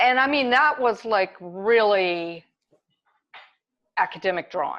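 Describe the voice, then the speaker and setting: A woman with an ordinary speaking voice talks at a medium pitch and a fairly slow pace. Her intonation is lively, and the background is quiet. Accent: American. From US South, Kentucky. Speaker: artist. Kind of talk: interview.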